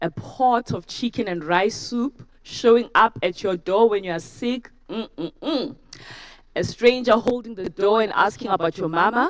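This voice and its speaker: A woman talks with a South African accent. Her pace is fairly slow and her intonation lively. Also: fairly high pitch for a woman. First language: isiZulu. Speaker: university lecturer, TEDx speaker. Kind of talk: talk to a live audience.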